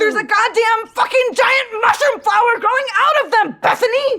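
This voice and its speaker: A woman puts on a character voice at an extremely high pitch, with ordinary pitch variation, a moderate pace and very even loudness. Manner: panicked, shouting.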